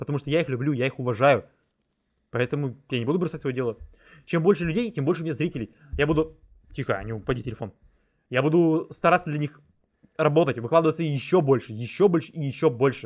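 A man talks very fast but with long, frequent pauses, against a quiet background. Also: ordinary pitch variation. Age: 20s. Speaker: gaming YouTuber; streamer. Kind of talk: gameplay commentary; casual gameplay commentary. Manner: casual, hesitant with filler sounds. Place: home room.

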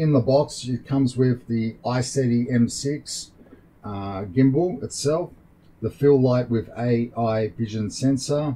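A man speaks very slowly in a somewhat breathy voice with ordinary pitch variation. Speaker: tech reviewer. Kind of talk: unboxing commentary. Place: home room.

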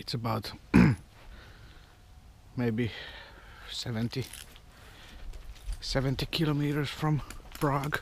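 Slow and broken by long, frequent pauses, a man's speech sits at a medium pitch with ordinary pitch variation.

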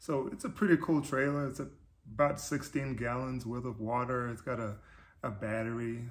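At a moderate pace, this speaker sounds somewhat breathy and keeps the intonation fairly even. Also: man. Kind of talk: casual vlog chat. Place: garage.

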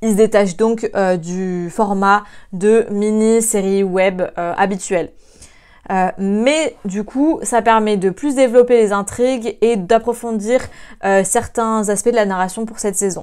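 Against a quiet background, a woman talks very slowly in a fairly high pitch with fairly even intonation. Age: 20s. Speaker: student video presenter; presenter. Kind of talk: casual video review. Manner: hesitant, many filler sounds. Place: home room. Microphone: lapel.

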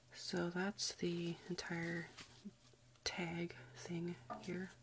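The speaker is soft-spoken and goes at a very slow pace over light background noise. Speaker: ASMR creator. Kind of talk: ASMR soft-spoken review.

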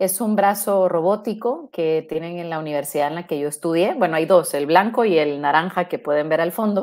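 A woman's fairly low voice at a moderate pace, with hardly any pauses, ordinary pitch variation and a quiet background. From Guatemala. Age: 40s. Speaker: robotics engineer; guest. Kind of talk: interview. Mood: friendly, relaxed. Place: home room.

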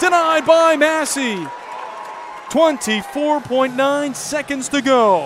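Against crowd noise in the background, a man with an extremely high pitch speaks at a very slow pace with ordinary pitch variation, the sound dry with no echo. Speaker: hockey play-by-play announcer. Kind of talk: live play-by-play commentary over game footage, highlight reel. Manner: excitable, rising intensity on goals. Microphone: headset.

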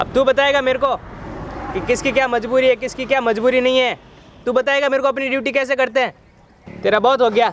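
Over light background noise, a man speaks at a moderate pace in an extremely high pitch with a monotone, flat intonation, and the sound is dry with no echo. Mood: stern, scolding. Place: street.

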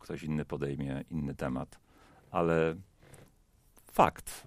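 The voice has noticeable vocal fry. The sound is dry with no echo against a quiet background. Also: man. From Poland. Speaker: pastor. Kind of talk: panel discussion. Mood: calm, reflective. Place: studio. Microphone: headset.

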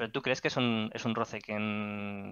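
A man's fairly low voice at a fairly slow pace, dry with no echo, over a quiet background. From Spain, Catalonia (Barcelona area). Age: 30s. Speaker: gaming community moderator. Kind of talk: casual interview. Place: home room. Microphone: studio mic.

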